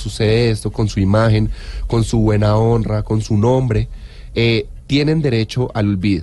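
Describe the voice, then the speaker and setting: Typical rise and fall in pitch, with clearly audible noise in the background. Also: man. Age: 30s. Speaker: lawyer, information security specialist. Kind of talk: expert interview. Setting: studio.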